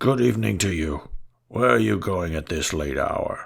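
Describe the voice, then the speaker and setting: A man's raspy put-on character voice, very deep and low in pitch, with very wide pitch swings. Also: moderate pace. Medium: read story. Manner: calm, advising.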